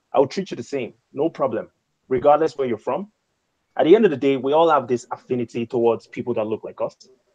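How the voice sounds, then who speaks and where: In an African accent, a man talks at a very fast pace and medium pitch with ordinary pitch variation, a dark, mellow tone and a dry, close sound with no echo. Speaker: YouTuber, show guest. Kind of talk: panel discussion on live stream. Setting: video call live stream.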